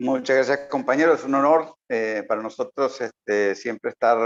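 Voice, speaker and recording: Recorded with a dry, close sound and no echo, a man speaks with a slight South American accent. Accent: slight South American lilt. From Uruguay, then Nicaragua from youth. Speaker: political analyst. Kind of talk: interview.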